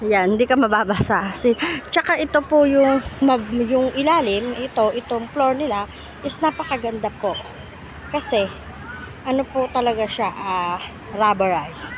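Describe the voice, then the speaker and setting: A woman's high-pitched voice at a moderate pace, ordinary pitch variation, and crowd noise in the background. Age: old. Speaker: vlogger. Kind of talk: walking tour vlog. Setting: outdoors in a park. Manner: animated.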